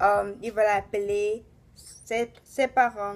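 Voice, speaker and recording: The speaker is a woman. Her intonation is monotone and flat. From Tanzania. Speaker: vlogger. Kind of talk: personal vlog storytelling. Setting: bedroom. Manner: halting.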